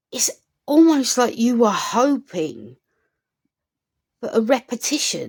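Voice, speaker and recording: Pausing long and often, a woman talks very slowly. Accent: British. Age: middle-aged. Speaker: commentary vlogger. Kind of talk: opinion rant to camera.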